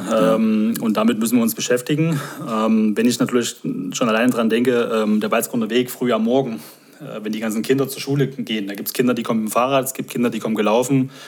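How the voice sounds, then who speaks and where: Over noticeable background noise, a man with a medium pitch speaks very fast with fairly even intonation. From Saxony, near Dresden. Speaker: guest, new resident. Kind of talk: casual chat.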